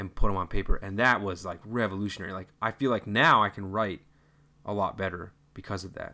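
In a very clean recording with a silent background, a man speaks at a fairly quick pace with a fairly low pitch, fairly even intonation and a bright, sharp tone. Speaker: podcast co-host. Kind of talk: casual chat. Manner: talkative.

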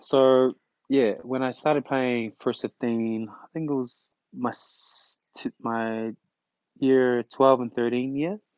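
A man speaks very slowly at a medium pitch, with fairly even intonation and long, frequent pauses. His loudness swings a lot, and the sound is dry and close with no echo. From Tonga, then Dunedin NZ from age ten. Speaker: rugby player. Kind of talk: casual interview. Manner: halting, many fillers.

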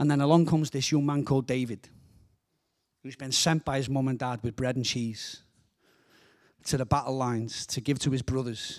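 On a very clean recording with a silent background, a man with a Liverpool accent talks at a fairly quick pace. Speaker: guest preacher. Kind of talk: sermon. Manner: animated.

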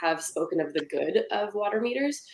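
Lively intonation at a fairly quick pace over noticeable background noise. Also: woman. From Ontario, Canada. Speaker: city council candidate. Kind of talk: candidate debate. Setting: video call.

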